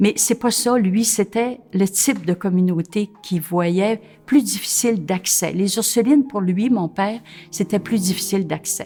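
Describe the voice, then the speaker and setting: The voice is somewhat breathy with a dark, mellow tone. It moves at a fairly slow pace with ordinary pitch variation. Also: woman. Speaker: nun. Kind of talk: interview testimony. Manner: hesitant, many filler sounds.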